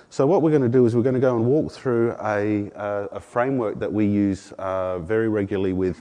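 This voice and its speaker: A man speaks fairly quickly with an Australian accent. His pitch is medium, with ordinary variation. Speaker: product marketing manager. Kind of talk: conference presentation. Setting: conference room with audience. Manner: many filler words.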